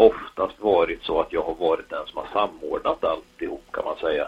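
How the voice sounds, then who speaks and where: A man with an Östergötland accent speaks at a fairly slow pace. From Östergötland, Sweden. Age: 30s. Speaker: motorsport race director. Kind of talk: casual interview.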